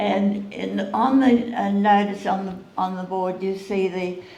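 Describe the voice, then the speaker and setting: A woman at a medium pitch and a very slow pace, with ordinary pitch variation and noticeable background noise. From Australia. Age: 80s+. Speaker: retired butcher shop manager. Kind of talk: interview answer.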